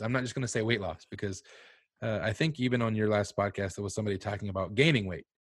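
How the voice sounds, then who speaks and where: A man with an American accent and a fairly low pitch, ordinary pitch variation, a plain, everyday voice, on a very clean recording with a silent background. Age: 30s. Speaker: behavior analyst and food podcaster. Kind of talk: casual interview chat.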